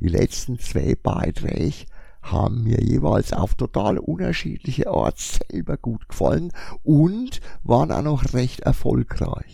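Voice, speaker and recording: In a Franconian accent, a man speaks very slowly. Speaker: podcaster, comic shop owner. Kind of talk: casual monologue.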